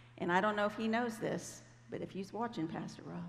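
In an American accent, a woman talks at a fairly quick pace and a medium pitch with ordinary pitch variation. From Ohio, US Midwest. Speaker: Bible teacher. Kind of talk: sermon. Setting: church stage with audience. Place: stage.

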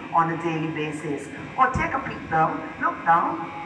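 A woman speaking at a fairly slow pace, her pitch fairly low, with noticeable background noise. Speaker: cave tour guide. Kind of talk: tour guide commentary. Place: tunnel cave.

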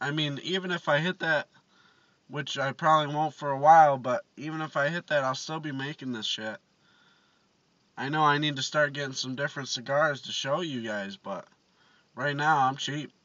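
A man speaks at a moderate pace with fairly even intonation. The sound is dry with no echo. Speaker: vlogger. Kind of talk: casual vlog chat.

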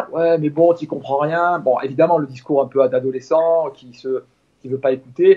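A man with a normal speaking voice, fairly high pitch, fairly even intonation, big swings in loudness and a moderate pace. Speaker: father of a golfer. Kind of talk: interview.

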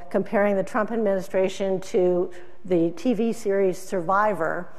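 With fairly even intonation, a woman talks at a moderate pace. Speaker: keynote speaker, agricultural news publisher. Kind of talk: keynote speech. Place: hall.

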